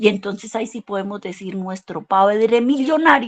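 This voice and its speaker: At a moderate pace, a woman talks in an animated tone at a medium pitch with ordinary pitch variation. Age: 60s. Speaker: Bible teacher. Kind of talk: sermon-style church class.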